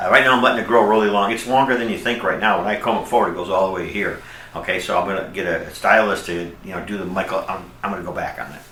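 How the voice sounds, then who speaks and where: The speech comes at a very fast pace with fairly even intonation, over noticeable background noise and audible room echo. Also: man, fairly low pitch for a man. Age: 60s. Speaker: hair transplant patient. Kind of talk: testimonial. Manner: casual, chatty with fillers.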